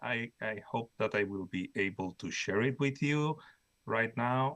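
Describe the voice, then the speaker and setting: A man with a Spanish accent talks at a fairly slow pace with lively intonation. The background is quiet. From Spain. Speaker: professor. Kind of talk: conference presentation. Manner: halting, many fillers and repetitions.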